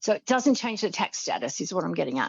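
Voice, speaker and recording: A woman speaks at a medium pitch with an Australian accent and vocal fry. Her pace is fairly quick. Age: 60s. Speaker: financial planner. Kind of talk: podcast interview.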